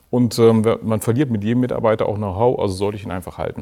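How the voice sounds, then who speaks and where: Talking at a very fast pace, a man uses a medium pitch and a dark, mellow tone with fairly even intonation. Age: 40s. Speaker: business analyst. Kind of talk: panel discussion.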